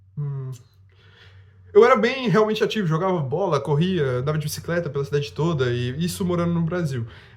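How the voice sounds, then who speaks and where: A man speaks very fast with lively intonation. Noticeable background noise runs underneath. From Brazil, Rondônia. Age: 20s. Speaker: youtuber. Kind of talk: casual vlog monologue.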